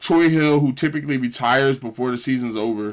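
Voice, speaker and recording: Recorded very cleanly against a silent background, a man of medium pitch speaks at a fairly quick pace with fairly even intonation. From Philadelphia, US. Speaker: gaming streamer. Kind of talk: casual live stream commentary. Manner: casual, halting with fillers.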